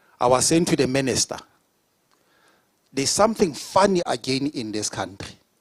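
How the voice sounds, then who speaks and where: With very wide pitch swings and long, frequent pauses, a man talks at a moderate pace and a fairly high pitch. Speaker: provincial government leader. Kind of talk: public speech at investment forum. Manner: emphatic, with hesitations.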